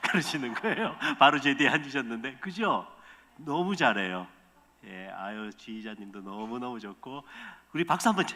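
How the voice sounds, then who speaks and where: A man at medium pitch speaks with very wide pitch swings and big swings in loudness, leaving long, frequent pauses. Noticeable background noise runs underneath. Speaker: missionary pastor. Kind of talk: sermon. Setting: church. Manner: fast.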